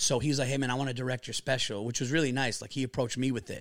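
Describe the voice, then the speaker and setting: Very fast speech comes from a man with a New York accent and a fairly high pitch. The recording is very clean, with a silent background. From New York area. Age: 40s. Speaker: stand-up comedian. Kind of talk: casual podcast interview. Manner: animated, profane storyteller.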